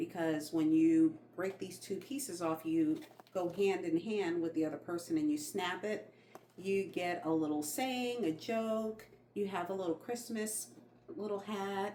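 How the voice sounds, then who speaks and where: A woman with an American accent speaks at a fairly slow pace, her intonation lively and her tone animated. Noticeable background noise is present. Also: medium pitch for a woman. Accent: slight New York accent that slips out. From New York, Long Island. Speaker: lifestyle vlogger. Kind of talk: casual chat.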